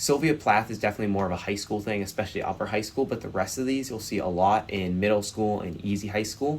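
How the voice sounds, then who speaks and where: Barely pausing, a man rattles along at a very fast pace in a fairly low voice with ordinary pitch variation. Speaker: quizbowl educator / YouTuber. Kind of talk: tutorial. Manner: many filler words (uh).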